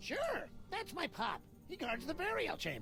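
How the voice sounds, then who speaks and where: A put-on character voice at an extremely high pitch and moderate pace, with clear music in the background. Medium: game stream.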